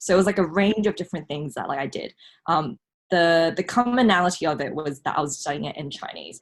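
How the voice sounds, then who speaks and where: Speaking at a very fast pace with lively intonation, a woman with a fairly low pitch has a non-native accent. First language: not Mandarin. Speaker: scholarship recipient, law student. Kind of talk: casual podcast interview. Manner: hesitant, many fillers.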